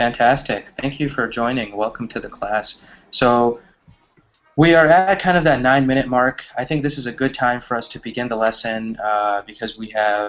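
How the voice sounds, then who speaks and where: In an American accent, a plain, everyday voice moves at a moderate pace with ordinary pitch variation. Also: man, medium pitch for a man. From US Midwest, Wisconsin. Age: 20s. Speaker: online English teacher. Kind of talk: online English class.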